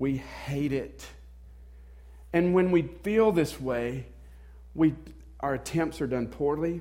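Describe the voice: In a Southern US accent, a man with a fairly high pitch and a slightly mellow tone speaks at a fairly slow pace with ordinary pitch variation.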